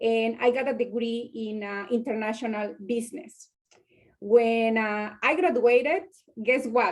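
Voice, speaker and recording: A woman with a Spanish accent speaks at a fairly slow pace. Her voice is fairly high, with ordinary pitch variation. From Mexico. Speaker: business professional panelist. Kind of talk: personal story on panel. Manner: halting, many fillers.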